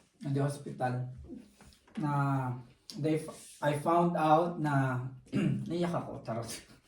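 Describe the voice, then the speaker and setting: Speaking very slowly, a man with a fairly high pitch keeps his intonation fairly even, and audible room echo surrounds him. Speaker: vlogger. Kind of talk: casual chat. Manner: loud.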